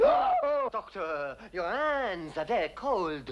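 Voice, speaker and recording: Over light background noise, a man does a put-on character voice at a high pitch, speaking at a very slow pace with very wide pitch swings. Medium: short film. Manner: sheepish, anxious.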